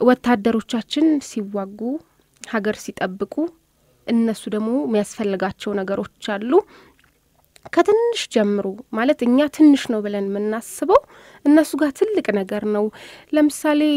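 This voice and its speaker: Against a quiet background, a woman's dark, mellow voice moves with lively intonation. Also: fairly high pitch for a woman, dry sound with no echo. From Addis Ababa, Ethiopia. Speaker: volunteer and journalism student. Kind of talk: radio interview. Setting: studio. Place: studio.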